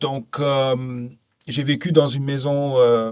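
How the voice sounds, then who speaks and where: Speaking very slowly, the man has a non-native accent. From Canada (Ontario/Quebec) and Abu Dhabi. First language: English (speaking French). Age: 40s. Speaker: podcast guest, safety professional. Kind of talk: interview conversation. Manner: hesitant, many fillers.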